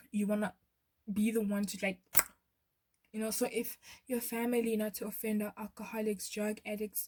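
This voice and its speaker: A woman's fairly high, somewhat breathy voice, dark and mellow in tone, flat and monotone at a moderate pace, with long, frequent pauses. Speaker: tarot reader. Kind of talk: tarot pick-a-card reading. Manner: stuttering.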